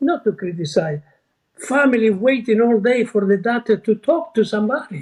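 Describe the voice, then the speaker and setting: A man talks at an extremely high pitch with lively intonation. His pace is moderate. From Argentina. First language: Spanish or Italian. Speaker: retired surgeon. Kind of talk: interview storytelling. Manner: halting, with false starts.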